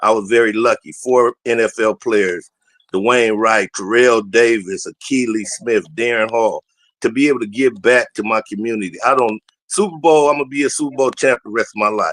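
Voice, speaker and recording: A man talks at a moderate pace in a normal speaking voice, medium in pitch with ordinary pitch variation and an American accent. The sound is dry and close, with no echo. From Southeast San Diego, California. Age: 60s. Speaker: former NFL player and high school football coach. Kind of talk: casual talk show chat.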